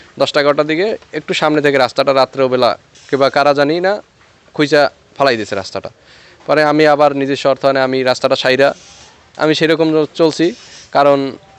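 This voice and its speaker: Music in the background beneath fairly even intonation. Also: man, fairly high pitch for a man. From Bangladesh, rural union. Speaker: driver, victim of vandalism. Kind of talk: interview testimony.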